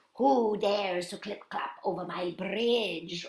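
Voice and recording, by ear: A female-sounding, raspy put-on character voice at a medium pitch, delivered at a fairly slow pace.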